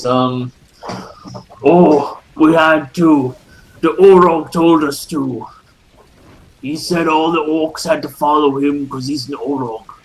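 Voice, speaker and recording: Using a put-on character voice, a man speaks at a fairly high pitch and a fairly slow pace, leaving long, frequent pauses. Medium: actual play. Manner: cringing, ingratiating.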